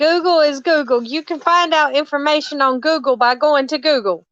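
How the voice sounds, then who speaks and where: With a strong Southern US accent, a woman speaks high in pitch at a moderate pace, with ordinary pitch variation. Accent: thick Southern. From Alabama, US South. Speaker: live streamer. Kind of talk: casual live stream chat. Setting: live stream, phone. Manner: animated.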